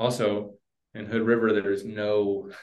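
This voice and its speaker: A man talks with an American accent. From Oklahoma. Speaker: barbecue food truck owner. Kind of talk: casual interview.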